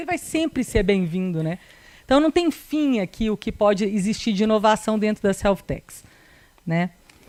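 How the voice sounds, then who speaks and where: Speaking at a moderate pace with lively intonation, a woman with a slight Minas Gerais accent uses a fairly high pitch. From Minas Gerais, Brazil (Belo Horizonte). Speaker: corporate lawyer. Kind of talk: presentation. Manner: hesitant, many fillers.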